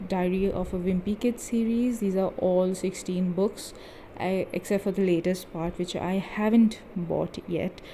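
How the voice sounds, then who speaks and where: A woman with a non-native accent at medium pitch, fairly slow pace and fairly even intonation. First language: not English. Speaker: book video creator. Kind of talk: bookshelf tour video. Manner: casual, chatty.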